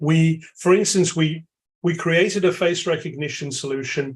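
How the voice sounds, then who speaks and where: A man with a London accent, somewhat breathy, at a fairly slow pace with fairly even intonation. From London, England. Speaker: AI expert. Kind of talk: webinar Q&A answer.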